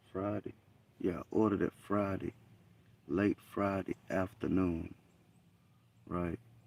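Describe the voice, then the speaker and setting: With a Southern US accent, the speaker goes at a fairly slow pace with long, frequent pauses and fairly even intonation. The sound is dry and close, with no echo. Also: man. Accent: US South. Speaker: hunting livestreamer. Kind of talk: live stream commentary. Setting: outdoors in a deer blind in the woods.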